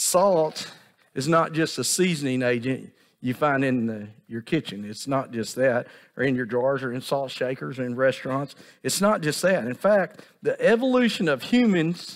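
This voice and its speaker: A man talks at a moderate pace, with a quiet background behind him. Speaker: pastor. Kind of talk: sermon. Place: church.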